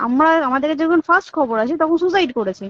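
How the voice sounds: A woman with a high pitch talks at a fast pace with lively intonation. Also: dry, close sound with no echo.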